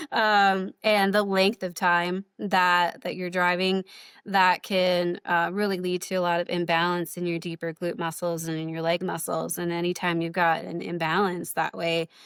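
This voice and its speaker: In a very clean recording with a silent background and a dry, close sound with no echo, a woman speaks at a moderate pace and a fairly low pitch, monotone and flat, with hardly any pauses. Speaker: chiropractor. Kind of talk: interview. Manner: speeds up and pitch rises when talking; many fillers and repetitions.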